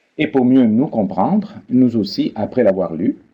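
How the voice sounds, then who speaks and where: A man with a Spanish accent, medium in pitch, at a fairly slow pace. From Peru. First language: Spanish (speaking French). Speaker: biblical studies professor. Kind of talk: lecture. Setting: online seminar. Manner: formal.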